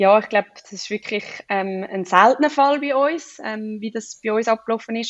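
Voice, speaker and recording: A woman's normal speaking voice, fairly high in pitch, with ordinary pitch variation and a fairly slow pace. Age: 20s. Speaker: personal trainer and new mother. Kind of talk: interview.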